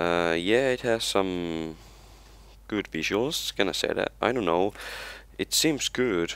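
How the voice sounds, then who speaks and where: A man with an Estonian accent, fairly low in pitch, with lively intonation, a very slow pace and long, frequent pauses. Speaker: gaming youtuber. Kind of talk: casual gameplay commentary. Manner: halting, hesitant with many fillers.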